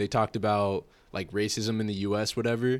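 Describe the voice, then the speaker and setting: This man speaks in a flat monotone at a moderate pace, with an American accent and a fairly low pitch, on a very clean recording with a silent background. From California. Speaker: guest on identity podcast. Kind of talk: casual chat. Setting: studio.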